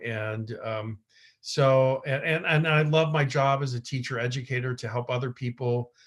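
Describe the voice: A man speaks at a fairly slow pace with a medium pitch.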